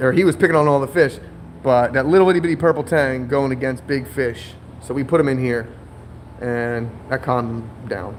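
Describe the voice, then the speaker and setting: Noticeable background noise accompanies a man of medium pitch who talks at a fairly quick pace with ordinary pitch variation. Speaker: aquarium shop owner. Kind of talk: live stream. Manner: casual, filler-heavy.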